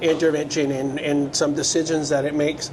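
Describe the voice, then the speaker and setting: Over noticeable background noise, a man speaks at a fairly high pitch. His intonation is monotone and flat, with audible room echo. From US West Coast, San Francisco Bay Area. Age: 50s. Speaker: QA engineer and artist. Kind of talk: casual interview.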